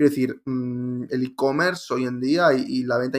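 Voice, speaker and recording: With a plain, everyday voice, a man speaks at a fairly slow pace, using fairly even intonation at a medium pitch. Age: 30s. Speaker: digital marketing consultant. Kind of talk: interview.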